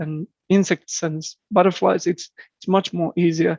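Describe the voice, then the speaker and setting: The intonation stays fairly even in a dry, close recording with no echo. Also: man. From southeastern Finland. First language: Finnish. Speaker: birder and entomologist. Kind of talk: podcast interview. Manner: halting, frequent repetitions.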